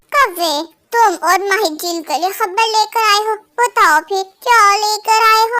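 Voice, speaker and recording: A woman uses a cartoonish character voice at an extremely high pitch. She speaks at a moderate pace with ordinary pitch variation. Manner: haughty, commanding.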